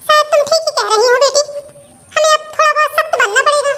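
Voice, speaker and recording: A woman's cartoonish character voice, extremely high in pitch, fairly quick, with very even loudness and fairly even intonation. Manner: scolding.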